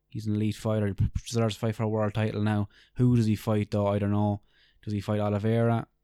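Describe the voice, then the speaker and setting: Dry and close with no echo, the clip has a man with an Irish accent talking at a very fast pace in a fairly low pitch, with monotone, flat intonation and a dark, mellow tone. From Ireland. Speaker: podcast co-host, MMA fan. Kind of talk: casual chat.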